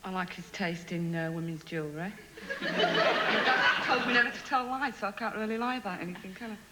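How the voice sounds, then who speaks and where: A woman in a Yorkshire accent, medium in pitch, with lively intonation and a fairly quick pace, amid noticeable background noise and audible room echo. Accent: broad Yorkshire. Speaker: game show contestant. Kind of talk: recorded interview recounting a date; studio chat with host.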